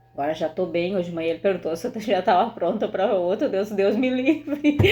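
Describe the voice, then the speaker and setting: A woman's dark, mellow tone in a gaúcho accent, with lively intonation and a moderate pace. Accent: gaúcho, uses 'bah'. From southern Brazil (Rio Grande do Sul). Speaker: video host. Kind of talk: casual chat. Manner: animated.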